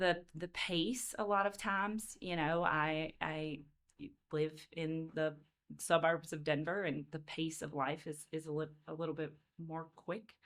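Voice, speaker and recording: Speaking at a fairly slow pace, a woman with a Southern US accent uses a very deep, low pitch and fairly even intonation. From Louisiana. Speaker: education consultant, former teacher. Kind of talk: podcast interview. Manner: hesitant, many fillers.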